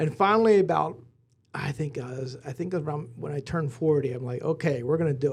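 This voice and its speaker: A somewhat breathy man with an American accent, fairly high in pitch, with ordinary pitch variation, a fairly quick pace and big swings in loudness. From Lancaster County, Pennsylvania. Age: 40s. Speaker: business executive. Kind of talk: casual interview.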